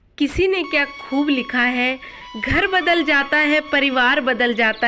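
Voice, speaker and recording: A raised, projected voice carries over music in the background. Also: woman. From eastern Rajasthan, India. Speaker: housewife vlogger. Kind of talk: casual talk to camera.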